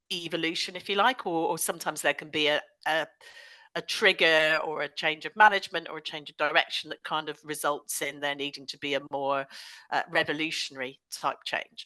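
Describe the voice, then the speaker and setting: Speaking in a Bristolian accent at a fairly quick pace, a woman with a very deep, low pitch makes big swings in loudness, the sound dry and close with no echo over a quiet background. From West Country England, Bristol. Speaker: digital transformation consultant. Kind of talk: podcast interview.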